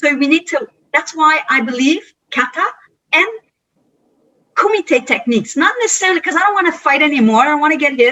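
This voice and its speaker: A woman with a Quebec accent speaks at a fairly quick pace with a high pitch and lively intonation, breaking often with long pauses. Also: very even loudness. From Quebec (Montreal). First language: French. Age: 50s. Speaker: karate instructor. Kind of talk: interview conversation. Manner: animated; halting.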